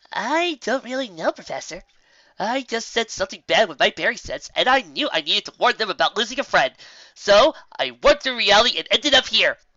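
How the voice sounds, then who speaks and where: A woman performs a put-on character voice at a high pitch. She moves at a fairly quick pace, with big swings in loudness. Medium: read story. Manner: fast, giddy.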